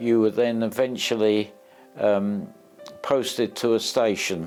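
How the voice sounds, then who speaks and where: A man's medium-pitched voice with fairly even intonation over music in the background. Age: 80s+. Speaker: retired ambulance driver. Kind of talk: interview answer.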